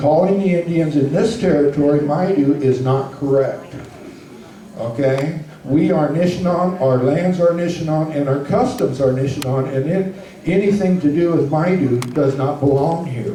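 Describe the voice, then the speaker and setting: A man with a fairly high pitch, ordinary pitch variation, moderate pace and very even loudness, with audible room echo and noticeable background noise. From Northern California, Grass Valley area. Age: 60s. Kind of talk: presentation to an audience.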